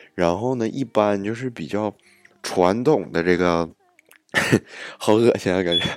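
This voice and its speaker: His voice is very deep and low, with ordinary pitch variation. The man keeps a moderate pace. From Northeast China, Jilin. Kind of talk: casual monologue. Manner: animated.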